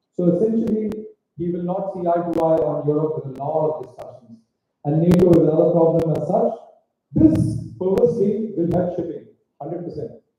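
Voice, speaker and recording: With long, frequent pauses, a man speaks at a high pitch in a dark, mellow tone and fairly even intonation, with audible room echo. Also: fairly quick pace, big swings in loudness. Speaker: shipping industry leader, keynote speaker. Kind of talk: conference talk. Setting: stage with audience at a hotel event. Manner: fast.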